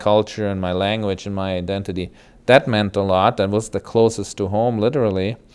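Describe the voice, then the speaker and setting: With a German accent, a man speaks at a moderate pace in a fairly low pitch and a monotone, flat intonation. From Germany (West Germany). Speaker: hospital chaplain. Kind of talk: interview. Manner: hesitant, with fillers.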